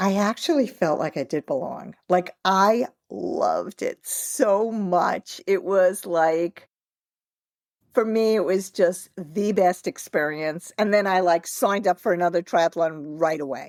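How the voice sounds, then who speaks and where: A woman talks at a fairly slow pace in a normal speaking voice, with medium pitch and ordinary pitch variation. The sound is dry and close with no echo, on a very clean recording with a silent background. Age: 60s. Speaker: author and triathlete. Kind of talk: interview. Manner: conversational, many fillers.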